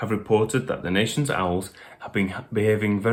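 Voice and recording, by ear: Someone reads aloud in a natural voice. Their intonation holds fairly even throughout.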